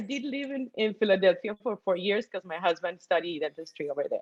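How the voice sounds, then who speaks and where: A woman with a Colombian accent speaks at a very fast pace. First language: Spanish. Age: 50s. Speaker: guest sharing investing story. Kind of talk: testimony. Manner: animated.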